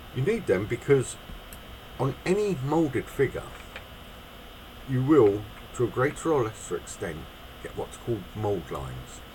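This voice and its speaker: Speaking at a moderate pace with long, frequent pauses, a man at medium pitch shows very wide pitch swings over noticeable background noise. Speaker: miniature figure painter. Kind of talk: tutorial.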